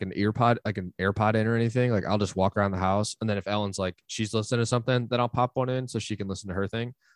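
Over a very clean recording with a silent background, a man talks at a very fast pace in a fairly low pitch. His intonation is fairly even, and the sound is dry and close with no echo. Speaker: podcast host. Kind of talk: casual chat.

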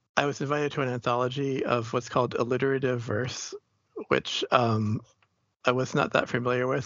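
In a normal speaking voice, a man of medium pitch talks with fairly even intonation. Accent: American. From Boston, US. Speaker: poet and writer. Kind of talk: interview.

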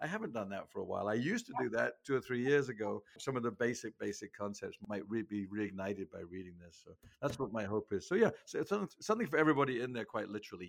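A man with an English accent speaks at a very fast pace with hardly any pauses and big swings in loudness. The recording is very clean, with a silent background. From England. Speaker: sales trainer. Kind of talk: interview. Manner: animated.

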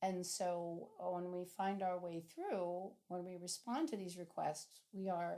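In a dark, mellow tone, a woman talks at a fairly slow pace. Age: 60s. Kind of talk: interview.

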